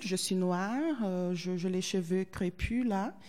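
A woman with a Portuguese accent, a dark, mellow tone and fairly even intonation. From southern Brazil, Porto Alegre. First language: Portuguese (speaking French). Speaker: Brazilian visitor to France. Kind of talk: interview. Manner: hesitant with many fillers.

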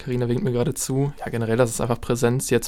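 This man's tone is dark and mellow, his pitch medium. He keeps his intonation fairly even. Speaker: university student. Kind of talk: casual chat. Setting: radio studio.

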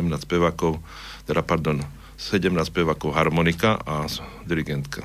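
With a very deep, low voice, a man talks at a fairly slow pace. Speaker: architect and choir singer. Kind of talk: radio interview. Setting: studio.

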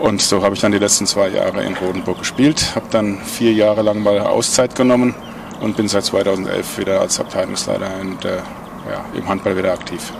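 A man's fairly low voice moves at a moderate pace with fairly even intonation, noticeable background noise running underneath. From Mainz, Rhine-Main area, Germany. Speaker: handball club manager, former player. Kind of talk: casual chat. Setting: outdoors at a pub.

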